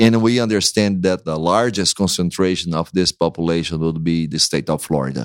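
Someone with a Brazilian accent talks at a fairly quick pace with hardly any pauses and ordinary pitch variation, on a very clean recording with a silent background. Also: man, very deep, low pitch for a man. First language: Portuguese. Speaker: pastor. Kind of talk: interview conversation.

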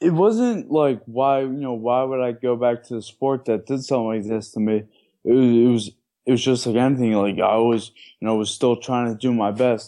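A man speaks in an American accent at a moderate pace. His tone is dark and mellow. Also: medium pitch for a man, fairly even intonation. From Maryland. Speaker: former college athlete. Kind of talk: interview.

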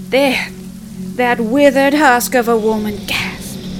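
A woman's voice with music in the background. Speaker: storyteller narrating a ghost story. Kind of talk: horror story narration, creepy old woman telling a tale. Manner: slow, hushed, eerie, with sighs and gasping menace.

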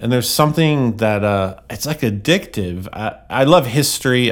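Delivered at a moderate pace, the speech comes in a plain, everyday voice with ordinary pitch variation. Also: man. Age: 40s. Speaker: guitar pedal company founder and photographer. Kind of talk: casual chat. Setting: live event, portable podcast rig.

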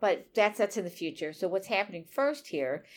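A woman with a medium-pitched voice speaks at a moderate pace in a very clean recording with a silent background. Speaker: podcast co-host, writer. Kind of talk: casual chat. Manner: loud when excited.

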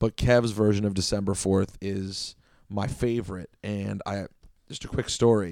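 The speaker talks at a fairly slow pace with an American accent and a monotone, flat intonation. The recording is very clean, with a silent background. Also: man, fairly low pitch for a man. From DC area (Chevy Chase, Maryland). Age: 30s. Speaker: radio host and record collector. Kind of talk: casual solo podcast about records.

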